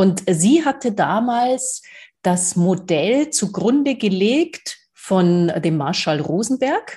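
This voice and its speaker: Very slow and somewhat breathy, a woman's dark, mellow voice holds a very even loudness while her pitch swings very widely. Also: medium pitch for a woman. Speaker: podcast co-host. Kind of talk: casual chat.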